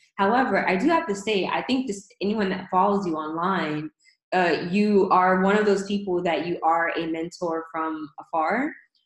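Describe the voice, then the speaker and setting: With an American accent, a woman at a medium pitch has an ordinary speaking voice, with ordinary pitch variation and a moderate pace. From northern US. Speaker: podcast interviewer. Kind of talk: casual interview.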